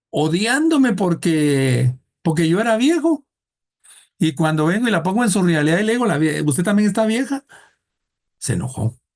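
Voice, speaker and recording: This man speaks high for a male voice, at a moderate pace, with very wide pitch swings, very even loudness, and long, frequent pauses. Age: 60s. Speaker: thanatology teacher. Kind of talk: lecture. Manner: conversational, humorous storytelling.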